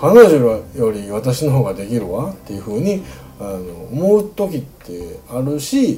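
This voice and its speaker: A man's medium-pitched voice in a Kansai accent, at a fairly slow pace, with very wide pitch swings and big swings in loudness, plus audible room echo and noticeable background noise. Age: 40s. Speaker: podcast host. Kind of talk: solo casual monologue.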